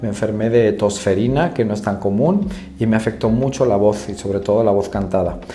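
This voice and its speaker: Talking at a fairly quick pace in a fairly low voice, a man is heard through noticeable background noise and audible room echo. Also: ordinary pitch variation. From Spain, Madrid. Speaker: choral conductor and vocal teacher. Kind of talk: interview.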